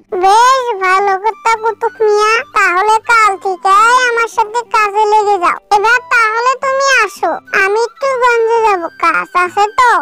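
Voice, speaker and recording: Over faint music in the background, a cartoonish character voice plays out at a fairly slow pace. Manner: eager, ingratiating.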